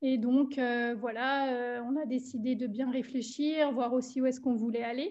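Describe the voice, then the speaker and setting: In a slight Alsatian accent, a woman with a high pitch speaks at a fairly slow pace with monotone, flat intonation. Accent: slight Germanic Alsatian. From Alsace, France. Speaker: entrepreneur. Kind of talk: interview. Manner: halting.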